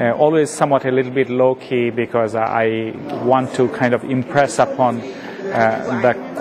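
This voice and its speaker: Over noticeable background noise and audible room echo, a man talks at a moderate pace with a medium pitch and fairly even intonation. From Bangladesh. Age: 50s. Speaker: professor. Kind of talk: interview.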